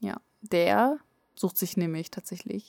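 A woman speaks at a fairly slow pace in a fairly low voice, the sound dry and close with no echo. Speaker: anime podcast co-host. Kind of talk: casual chat. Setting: sitting face to face, travel mic.

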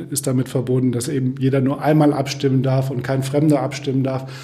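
A man speaks at a medium pitch in a monotone, flat delivery. Noticeable background noise and audible room echo surround him. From Germany, Kassel (northern Hesse). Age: 50s. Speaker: software company founder and managing director. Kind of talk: casual interview.

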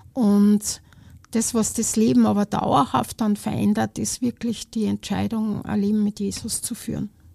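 This very clean recording has a silent background. A woman with an Austrian accent speaks at a fairly slow pace. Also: dry, close sound with no echo. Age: 50s. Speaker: charity volunteer. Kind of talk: casual interview.

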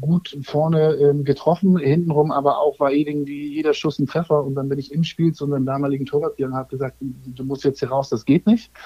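An ordinary speaking voice from a man, fairly high in pitch, with fairly even intonation at a moderate pace. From northern Germany, near Kiel. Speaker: digital advertising expert and former youth footballer. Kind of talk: casual chat.

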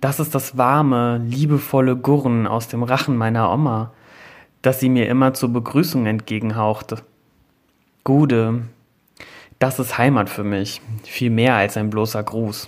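A man's medium-pitched voice at a fairly slow pace, with long, frequent pauses, on a very clean recording with a silent background. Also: fairly even intonation. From Germany, near Bad Ems / Koblenz (Rhineland-Palatinate). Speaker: magazine editor. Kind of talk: scripted narration.

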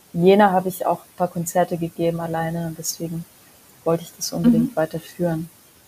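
Over noticeable background noise, a woman talks very fast in a fairly low, monotone voice with flat intonation and big swings in loudness. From Mongolia, raised in Germany. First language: Mongolian (speaking German). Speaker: singer-songwriter. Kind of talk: casual interview chat. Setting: remote recording.

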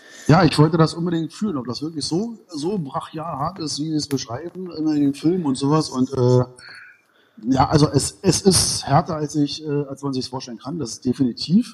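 A man's somewhat breathy voice at a moderate pace. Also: fairly high pitch for a man, ordinary pitch variation, big swings in loudness. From Berlin (East), Germany. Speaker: martial arts school owner. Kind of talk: casual interview. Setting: remote call.

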